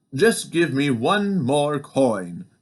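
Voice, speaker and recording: A man puts on a character voice, pitched fairly high with very wide pitch swings. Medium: read story.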